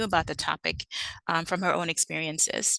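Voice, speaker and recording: Speaking at a very fast pace, a woman with a slight Caribbean accent has a medium pitch and a bright, sharp tone in dry, close sound with no echo. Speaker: librarian. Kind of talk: conference presentation. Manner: hesitant with frequent fillers (um, uh).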